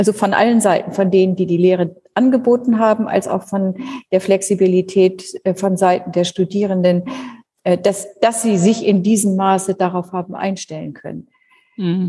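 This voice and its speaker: She speaks at a moderate pace. The woman has an ordinary speaking voice. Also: medium pitch for a woman, fairly even intonation. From northern Germany (Schleswig-Holstein). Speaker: university president. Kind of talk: interview.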